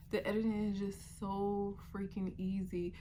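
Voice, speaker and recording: Medium-pitched female speech carrying audible room echo. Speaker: vlogger and sewing content creator. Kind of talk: casual vlog monologue.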